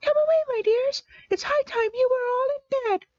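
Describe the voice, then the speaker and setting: A woman's shaky, squeaky put-on character voice at an extremely high pitch, with big swings in loudness. The pace is moderate and the sound is dry and close with no echo. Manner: trembling, fretful.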